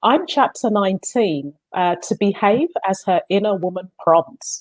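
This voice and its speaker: Speaking with a London accent, a woman uses lively intonation, medium pitch and a fairly slow pace in a dry, close sound with no echo. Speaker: book co-author, accountant in diversity work. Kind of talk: interview.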